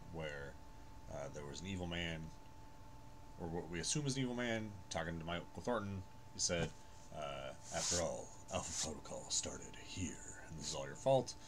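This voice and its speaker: Over noticeable background noise, a man with a very deep, low voice speaks with lively intonation and long, frequent pauses. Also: moderate pace. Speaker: gaming streamer. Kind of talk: gameplay commentary. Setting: home recording, no headphones. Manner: soft-spoken. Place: home room.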